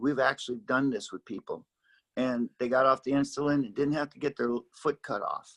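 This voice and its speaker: A man with a normal speaking voice, fairly high in pitch, at a moderate pace, in a dry, close sound with no echo. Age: 60s. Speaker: pastor. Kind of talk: interview. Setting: video call.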